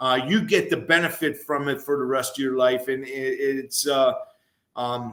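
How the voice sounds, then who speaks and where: The man's voice is fairly high in pitch. He talks at a moderate pace with fairly even intonation. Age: 60s. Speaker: former college football player. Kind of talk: casual sports talk. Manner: halting, many fillers.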